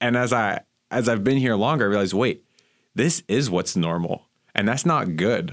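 A man with an American accent and an unremarkable speaking voice, medium in pitch, with lively intonation, very even loudness and a moderate pace, in a very clean recording with a silent background. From Miami, Florida. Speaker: divinity graduate student. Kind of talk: casual chat.

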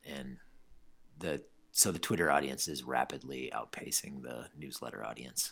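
Very deep, low male voice with vocal fry and an American accent, moderate in pace, ordinary in pitch variation, with big swings in loudness. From US Midwest, eastern Iowa. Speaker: newspaper reporter, soccer writer. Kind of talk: casual chat.

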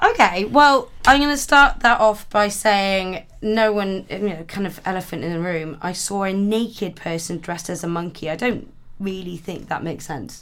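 In a west Welsh accent, a woman speaks at a moderate pace and medium pitch, with lively intonation and hardly any pauses. Her loudness swings widely on a very clean recording with a silent background. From Wales, Pembrokeshire. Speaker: comedy radio contributor. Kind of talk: casual chat.

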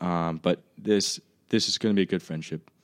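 A man with an American accent at a moderate pace, on a very clean recording with a silent background and a dry, close sound without echo. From Southwest Virginia, US South. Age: 20s. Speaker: college student, actor. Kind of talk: casual chat. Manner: animated.

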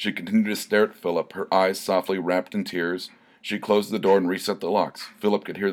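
The intonation stays fairly even. A person reads aloud in a natural voice.

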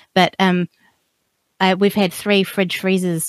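A woman speaks in a New Zealand accent at a fairly low pitch. She keeps a moderate pace, and the sound is dry and close with no echo. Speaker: podcaster living off the grid. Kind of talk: casual interview chat. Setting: remote call.

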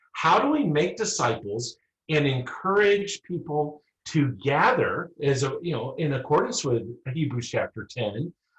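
A man's fairly high, somewhat breathy voice with lively intonation at a fairly slow pace. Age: 50s. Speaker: rural pastor. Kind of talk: casual chat.

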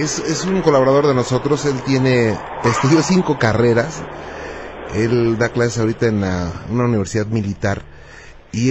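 This man has a plain, everyday voice. His pitch is medium with ordinary pitch variation. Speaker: radio host. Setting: radio studio with phone callers. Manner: warm, polite, curious, fluent, mildly jokey, narrates cases in an intrigued tone.

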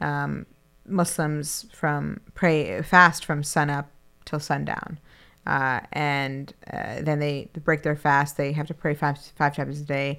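On a very clean recording with a silent background, a woman with a very deep, low pitch and a bright, sharp tone speaks at a very slow pace with fairly even intonation. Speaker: city councillor and podcast co-host. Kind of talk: casual chat. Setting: studio.

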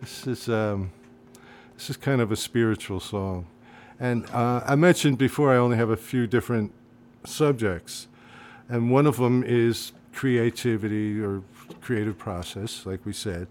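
On a very clean recording with a silent background, a man with a New Jersey accent speaks at a medium pitch and a moderate pace, with ordinary pitch variation and long, frequent pauses. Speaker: singer-songwriter, retired art teacher. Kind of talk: casual chat.

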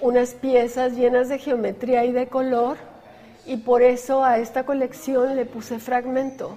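Her pitch sits high. The speaker is a woman. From Chihuahua, northern Mexico. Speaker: visual artist. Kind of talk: interview.

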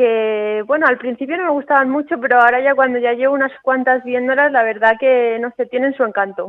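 A woman talks at a fairly quick pace with hardly any pauses. Her voice is high-pitched, with fairly even intonation. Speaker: professional golfer. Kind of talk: interview. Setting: at home.

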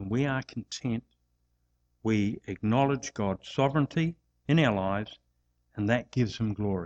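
A moderate pace with long, frequent pauses and ordinary pitch variation, in an Australian accent, the sound dry and close with no echo. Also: man, medium pitch for a man. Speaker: preacher and sports chaplain. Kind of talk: sermon. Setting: church.

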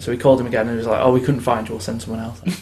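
Noticeable background noise sits behind the speaker. He is a man with a medium pitch. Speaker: podcast host. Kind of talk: casual chat.

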